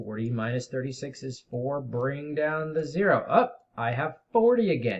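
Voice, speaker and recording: A man talks in a somewhat breathy voice. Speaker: middle school math teacher. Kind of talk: tutorial.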